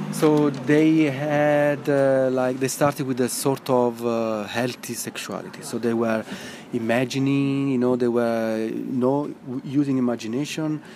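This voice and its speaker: A man with an Italian accent talks at a fairly slow pace over noticeable background noise. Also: medium pitch for a man, fairly even intonation. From Italy. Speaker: neuroscience researcher. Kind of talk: interview.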